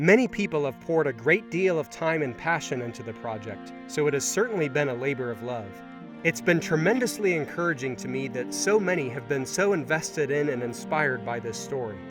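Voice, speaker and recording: A man's fairly high voice at a fairly quick pace with very wide pitch swings, with music in the background. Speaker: author and audiobook narrator. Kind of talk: author's introduction.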